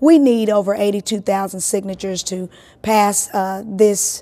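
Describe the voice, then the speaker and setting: A woman's medium-pitched voice at a moderate pace. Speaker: state legislator. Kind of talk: interview answer.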